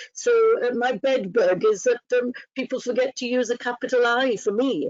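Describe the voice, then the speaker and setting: A woman's high-pitched voice in a Welsh accent, moderate pace, fairly even intonation. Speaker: training officer. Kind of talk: webinar guest talk.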